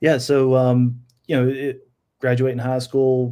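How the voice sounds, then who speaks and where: A man with a North Carolina accent, dark and mellow in tone, on a very clean recording with a silent background. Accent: Southern US (North Carolina). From US South, Charlotte area, North Carolina. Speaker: sign business owner. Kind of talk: casual interview podcast.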